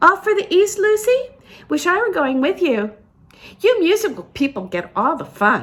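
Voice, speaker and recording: A woman in a put-on character voice speaks squeaky and extremely high at a moderate pace. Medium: read story. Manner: saucy, playful.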